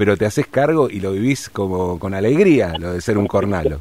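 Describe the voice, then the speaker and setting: Talking at a fairly quick pace, a man with a Rioplatense accent uses lively intonation. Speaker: radio host. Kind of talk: radio interview.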